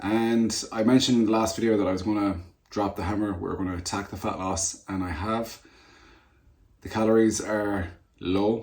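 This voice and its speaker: In a room with an audible echo, a man speaks at a moderate pace in a fairly low, monotone voice with flat intonation. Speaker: natural bodybuilder and personal trainer. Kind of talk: casual vlog chat. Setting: sitting at desk.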